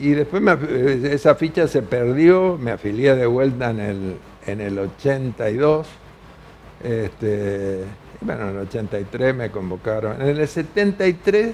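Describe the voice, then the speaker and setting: This man talks at a fairly slow pace, his medium pitch making very wide swings. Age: 80s+. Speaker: veteran politician and author. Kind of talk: TV news interview. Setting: TV studio.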